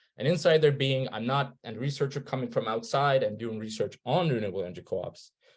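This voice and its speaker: Speaking at a very fast pace, a man sounds somewhat breathy, with ordinary pitch variation. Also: medium pitch for a man, hardly any pauses. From Turkey. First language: Turkish. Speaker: researcher. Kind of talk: presentation. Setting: webinar.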